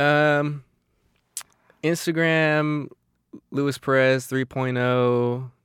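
In an American accent, the speaker talks at a very slow pace with monotone, flat intonation and long, frequent pauses. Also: man, fairly high pitch for a man. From Arizona. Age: young. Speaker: photographer and cinematographer. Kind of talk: casual chat.

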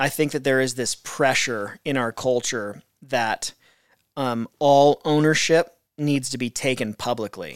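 An unremarkable speaking voice from a man, medium in pitch, fairly slow, with fairly even intonation. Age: 40s. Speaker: pastor. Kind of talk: casual chat; outro announcement.

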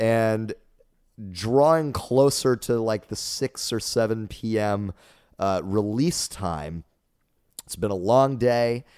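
Very slow speech from a man with an American accent, medium in pitch with ordinary pitch variation and long, frequent pauses, in a dry, close sound with no echo on a very clean recording with a silent background. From Dallas, Texas area. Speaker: improvisational musician and comedian. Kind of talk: casual interview chat. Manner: well spoken, jokey.

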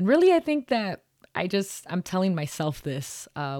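The recording has a dry, close sound with no echo. The speaker has an American accent. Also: woman, very clean recording, silent background. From Mexican American family. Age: 30s. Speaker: podcast host. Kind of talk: casual interview chat.

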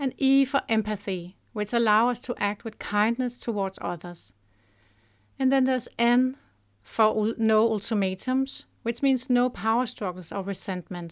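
A woman talks at a moderate pace in a Danish accent. Her fairly high pitch shows ordinary variation, and the recording is very clean with a silent background. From Denmark. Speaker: parenting author. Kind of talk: scripted narration.

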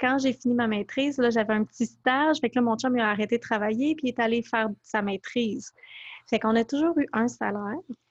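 The recording is dry and close with no echo, and a woman speaks at a fairly quick pace and very even loudness. Her pitch is fairly high, with ordinary pitch variation. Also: quiet background. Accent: Quebec. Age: 30s. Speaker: blogger and author. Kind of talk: interview.

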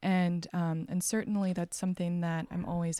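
In a dark, mellow tone with an American accent, this voice moves at a moderate pace on a very clean recording with a silent background. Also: woman. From Texas. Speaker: textile artist. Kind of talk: casual interview. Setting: artist studio.

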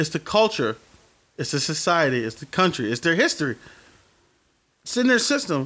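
At a fairly quick pace with long, frequent pauses, a man speaks in a fairly high pitch with very wide pitch swings and a bright, sharp, animated tone, in a very clean recording with a silent background. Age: 30s. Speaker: podcast host. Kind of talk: casual chat. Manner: loud.

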